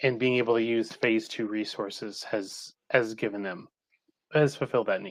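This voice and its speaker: A man with a plain, everyday voice at medium pitch, fairly even intonation and a moderate pace, in a very clean recording with a silent background. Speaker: couples therapist and EMDR trainer. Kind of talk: interview.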